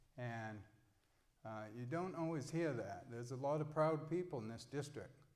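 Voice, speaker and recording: A man speaks at a moderate pace in a medium pitch with an American accent. There is audible echo in the room. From Mid-Coast Maine, US. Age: 60s. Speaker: political candidate. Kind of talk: candidate forum statement.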